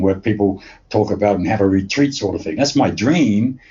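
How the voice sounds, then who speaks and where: The speaker talks at a fairly quick pace. The voice is somewhat breathy. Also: man. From England. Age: 70s. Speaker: fan chronicler and festival organizer. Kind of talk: casual interview chat. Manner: halting, many repeated words.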